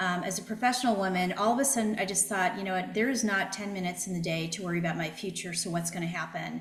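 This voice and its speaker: Speaking at a very fast pace, a woman with a medium pitch keeps her intonation fairly even, over noticeable background noise and audible room echo. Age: 60s. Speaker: financial planner. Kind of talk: interview.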